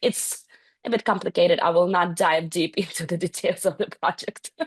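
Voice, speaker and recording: A woman's somewhat breathy, fairly low voice at a moderate pace, with fairly even intonation and a dry, close sound with no echo. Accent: Ukrainian. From Ukraine. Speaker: account executive and startup founder. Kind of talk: panel discussion. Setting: webinar.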